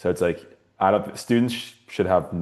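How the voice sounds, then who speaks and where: Against a quiet background, a man with a Californian accent talks at a very fast pace, his very deep, low pitch carrying a dark, mellow tone. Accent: Californian American. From US West Coast, San Francisco Bay Area. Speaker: university student. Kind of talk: panel discussion. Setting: webinar. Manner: halting, many fillers.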